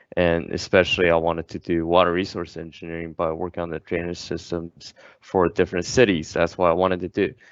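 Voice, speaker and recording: Speaking at a very fast pace with hardly any pauses, the voice has a Chinese accent and monotone, flat intonation, with a dry, close sound with no echo and a quiet background. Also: man, very deep, low pitch for a man. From China, Qingdao. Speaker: engineering student ambassador. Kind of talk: casual interview.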